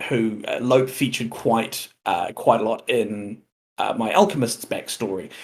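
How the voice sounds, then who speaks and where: A man of medium pitch speaks with a New Zealand accent and ordinary pitch variation. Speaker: tabletop role-playing game player, stream guest. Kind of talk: casual chat. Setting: live stream.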